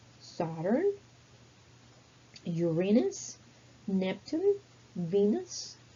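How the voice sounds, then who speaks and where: Very slowly, a woman with a non-native accent talks at a medium pitch with lively intonation. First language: not English. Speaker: English teacher. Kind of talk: language lesson. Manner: slow, deliberate word list for repetition.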